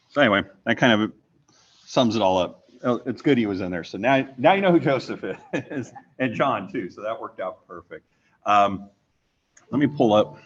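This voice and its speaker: With long, frequent pauses, a man at medium pitch talks at a moderate pace, using lively intonation and big swings in loudness. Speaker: conference presenter. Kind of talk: conference panel talk.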